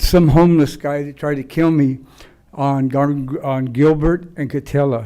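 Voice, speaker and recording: Fairly high for a man, his voice has a dark, mellow tone and fairly even intonation. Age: 70s. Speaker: public commenter at city council. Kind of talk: public comment. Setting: city council meeting.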